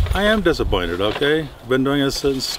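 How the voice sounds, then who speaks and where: A man speaks over noticeable background noise. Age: 70s. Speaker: wealthy retired bigfoot research backer. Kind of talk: interview. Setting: outdoors in the woods. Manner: halting, many fillers.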